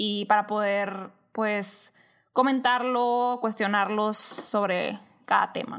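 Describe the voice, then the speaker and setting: A woman's fairly high-pitched voice, very slow and flat in a monotone. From Sonora, Mexico. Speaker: podcast co-host. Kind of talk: casual chat.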